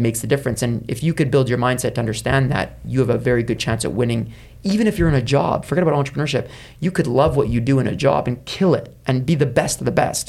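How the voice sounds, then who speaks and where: A man at medium pitch with vocal fry, ordinary pitch variation and a very fast pace. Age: 30s. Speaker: entrepreneur. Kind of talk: interview.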